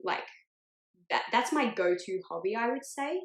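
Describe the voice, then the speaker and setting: A woman speaks with an Australian accent at a moderate pace. Her intonation is lively. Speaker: podcast co-host. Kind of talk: casual chat.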